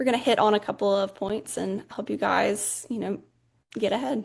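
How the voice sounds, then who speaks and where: Against a quiet background, this speaker moves at a fairly quick pace with an Alabama accent. Pitch varies in an ordinary way. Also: woman. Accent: Southern US (Alabama). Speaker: social media manager. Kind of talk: casual webinar chat.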